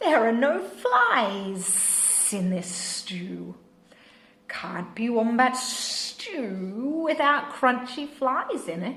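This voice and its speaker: In a put-on character voice, a woman speaks high and hissing at a very slow pace. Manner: hissing, scornful.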